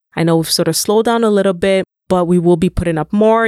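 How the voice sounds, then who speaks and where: Her voice is an unremarkable speaking voice, pitched fairly low with fairly even intonation, and this woman is recorded dry and close with no echo, very cleanly against a silent background. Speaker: podcast host. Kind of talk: casual chat.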